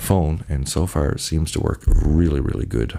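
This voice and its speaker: Noticeable background noise is present. The voice is soft-spoken. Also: man. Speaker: channel host giving commentary. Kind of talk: casual monologue to camera. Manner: soft-spoken, talking very low; halting, many fillers.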